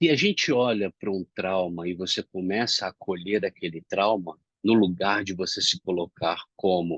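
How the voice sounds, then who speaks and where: A man with a very deep, low pitch speaks at a moderate pace with fairly even intonation. The sound is dry and close, with no echo. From Brazil, Rio de Janeiro. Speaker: self-development speaker. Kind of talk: reflective monologue. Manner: not loud, calm.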